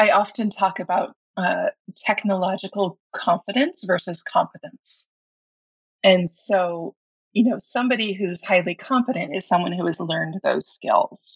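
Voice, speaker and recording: A woman's somewhat breathy, medium-pitched voice at a moderate pace, with lively intonation. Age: 50s. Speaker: website designer for birth workers, former doula and midwife. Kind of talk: interview.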